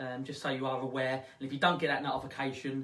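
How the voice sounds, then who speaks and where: A man with a fairly high voice talks very fast, with noticeable background noise and audible room echo. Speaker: ghost hunt event host. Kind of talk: live stream chat. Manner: halting, stuttering.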